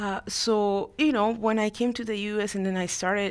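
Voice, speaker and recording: The speaker has a Spanish accent and fairly even intonation. The recording is very clean with a silent background. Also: woman. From Latin America, immigrated to Houston, Texas at 13. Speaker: lawyer and congressional staffer. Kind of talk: interview.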